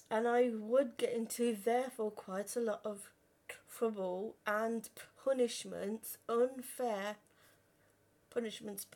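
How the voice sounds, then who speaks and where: Speaking at a very slow pace, a woman keeps her intonation fairly even and leaves long, frequent pauses. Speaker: vlogger. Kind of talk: personal testimony. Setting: live stream. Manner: halting, repeated words.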